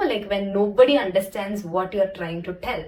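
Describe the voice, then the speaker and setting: Noticeable background noise sits under a woman speaking at a medium pitch with lively intonation. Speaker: movie reviewer. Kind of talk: casual review monologue.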